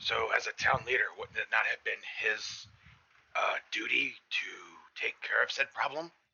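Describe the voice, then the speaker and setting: Using a put-on character voice, a man speaks at a moderate pace in an extremely high, raspy register. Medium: actual play. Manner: blunt, plain-spoken.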